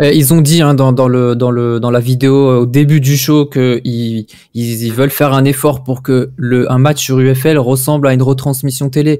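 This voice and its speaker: A man speaks fairly slowly in a dark, mellow tone with monotone, flat intonation. He barely pauses, and the background is quiet. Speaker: football video game commentator. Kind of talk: casual live-stream debate. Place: home room. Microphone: studio mic.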